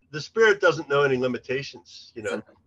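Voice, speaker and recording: Bright and sharp in tone, a man with an American accent speaks in a fairly high voice with lively intonation. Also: dry, close sound with no echo. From Pennsylvania. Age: 60s. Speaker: recovery fellowship historian. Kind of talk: interview. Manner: halting, many repetitions.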